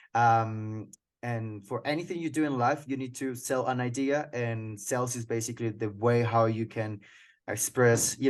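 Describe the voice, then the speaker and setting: A man's medium-pitched voice with a Colombian accent, fairly even intonation and a moderate pace, over a quiet background. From Colombia (Cucuta, near Venezuelan border). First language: Spanish. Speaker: sales manager. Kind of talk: interview. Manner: halting.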